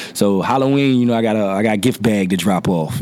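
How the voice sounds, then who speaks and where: Fairly even intonation at a moderate pace with an American accent, amid noticeable background noise. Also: man. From Norfolk, Virginia. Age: 30s. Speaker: entrepreneur and recording artist. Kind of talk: casual interview.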